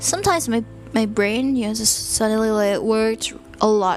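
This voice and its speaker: With music in the background, a woman speaks in a Thai accent. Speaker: sleep talk channel host. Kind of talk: casual monologue to help listeners sleep. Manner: deliberately slow; calm.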